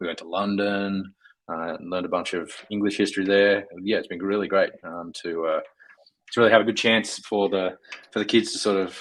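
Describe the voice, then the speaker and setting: In an Australian accent, a man talks at a fairly quick pace and fairly low pitch, his intonation monotone and flat while his loudness swings widely. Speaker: software engineer. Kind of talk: casual chat. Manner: halting, many fillers.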